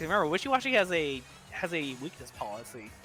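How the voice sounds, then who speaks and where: An excited tone with music in the background. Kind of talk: esports match commentary, play-by-play of a Pokemon battle. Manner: excited, fast.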